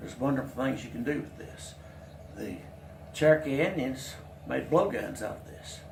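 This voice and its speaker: A man with an American accent talks at a fairly quick pace. Noticeable background noise and audible room echo fill the recording. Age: 70s. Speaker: craftsman demonstrating whittling. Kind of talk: tutorial. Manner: halting, with fillers and restarts.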